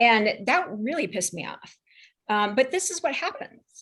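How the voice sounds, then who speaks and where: Loud speech at a moderate pace with very wide pitch swings. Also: woman. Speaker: panelist. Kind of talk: casual chat.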